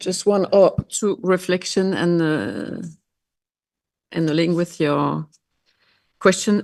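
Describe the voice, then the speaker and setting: A woman with a non-native accent and a fairly low voice speaks very slowly, with ordinary pitch variation and long, frequent pauses. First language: Dutch or French. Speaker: member of parliament. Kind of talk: panel discussion. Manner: halting.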